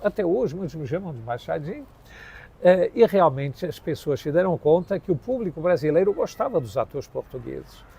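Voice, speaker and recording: A man talks with lively intonation. His voice sits high in pitch. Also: fairly quick pace. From Portugal. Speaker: actor and acting teacher. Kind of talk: interview storytelling.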